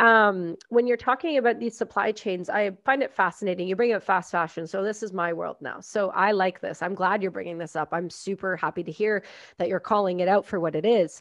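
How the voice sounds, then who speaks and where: Fairly quick speech with hardly any pauses and ordinary pitch variation, over a quiet background. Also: woman, medium pitch for a woman. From Canada. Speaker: podcast host and military veteran; podcast host. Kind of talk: casual interview. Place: home room. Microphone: studio mic.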